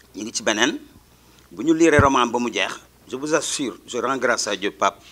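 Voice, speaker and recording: The man talks at a moderate pace. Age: 60s. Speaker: teacher. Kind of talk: speech at a school ceremony. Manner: mixes French and Wolof.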